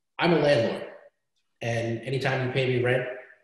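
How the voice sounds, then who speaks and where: A man speaks at a moderate pace with an American accent and a medium pitch. His voice is somewhat breathy, with fairly even intonation. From Brooklyn, New York. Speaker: real estate attorney. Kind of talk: webinar panel Q&A. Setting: video call.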